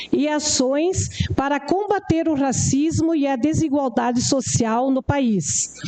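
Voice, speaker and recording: Lively intonation carries the very slow speech over noticeable background noise. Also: woman. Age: 60s. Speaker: rural settler and community educator. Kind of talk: formal speech to city council. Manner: formal, occasionally halting.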